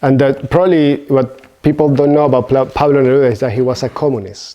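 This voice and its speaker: A man's dark, mellow tone at medium pitch, with a Spanish accent. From Venezuela. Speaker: Buddhist teacher. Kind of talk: dharma talk. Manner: halting.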